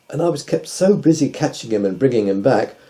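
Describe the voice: Intonation stays lively in this plain reading aloud.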